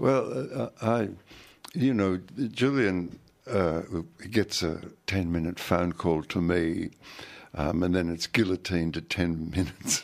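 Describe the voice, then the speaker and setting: A man with a very deep, low voice speaks with ordinary pitch variation and long, frequent pauses over a very clean recording with a silent background. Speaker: activist father of detainee. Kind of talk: radio interview. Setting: studio.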